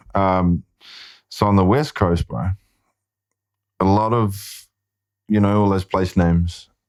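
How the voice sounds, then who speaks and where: In a very clean recording with a silent background and a dry, close sound with no echo, a man talks at a very slow pace with a fairly low pitch. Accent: New Zealand. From New Zealand, Māori. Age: 30s. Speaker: filmmaker and actor. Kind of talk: casual chat.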